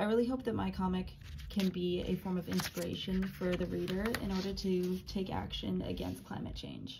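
At a moderate pace, a woman talks while background noise is noticeable. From US West Coast, San Francisco Bay Area; US West Coast. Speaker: college student. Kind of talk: class project presentation. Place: home room. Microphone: phone near.

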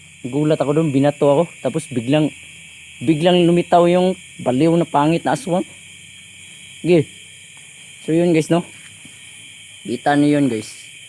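With noticeable background noise, a man speaks at a moderate pace, leaving long, frequent pauses. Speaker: ghost-hunting vlogger. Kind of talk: vlog narration. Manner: animated.

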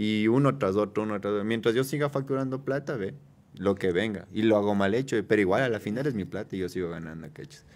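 A man talks at a very fast pace. His pitch is fairly low, with ordinary variation. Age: 20s. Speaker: tattoo artist. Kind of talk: casual chat. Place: studio. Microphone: studio mic.

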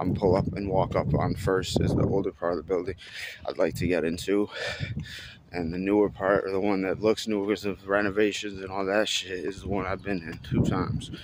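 Loud background noise runs under a man talking at a fairly quick pace. The sound is dry with no echo. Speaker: urban explorer vlogger. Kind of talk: casual vlog chat. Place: street. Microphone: phone near.

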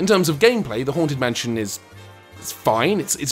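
A fairly quick voice with a British accent, music in the background. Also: man. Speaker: game reviewer. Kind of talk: comedic game review narration. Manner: dry, sarcastic.

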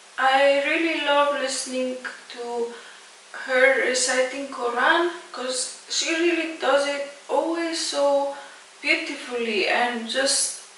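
A woman's high voice at a very slow pace, with fairly even intonation, light background noise and audible room echo. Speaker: reaction video host. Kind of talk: casual talk to camera. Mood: warm, admiring. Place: home room.

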